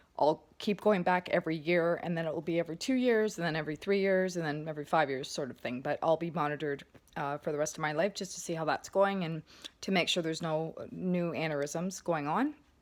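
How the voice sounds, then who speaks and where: Very fast, a woman talks in a fairly low voice with ordinary pitch variation. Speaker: vlogger sharing health recovery. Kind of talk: casual vlog update. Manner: hesitant, occasional word-finding stumbles.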